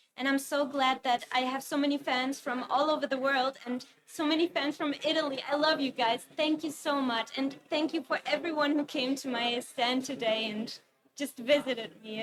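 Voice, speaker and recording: This woman has a high pitch and a German accent. She talks at a moderate pace with fairly even intonation. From Germany. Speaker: webcomic artist. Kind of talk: interview. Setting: convention stage, livestream. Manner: hesitant, many fillers.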